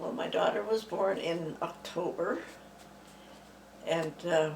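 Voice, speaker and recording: A woman with a Canadian accent speaks in a fairly low pitch with fairly even intonation. There is audible room echo and noticeable background noise. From Saskatchewan, Canada. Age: 80s+. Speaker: retired senior, interviewee. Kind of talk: oral history interview. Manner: halting, with fillers.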